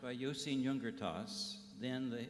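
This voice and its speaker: A man with an American accent speaks at a moderate pace, his pitch swinging very widely, over noticeable background noise with audible room echo. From United States. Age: old. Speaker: criminologist. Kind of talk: award lecture. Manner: halting.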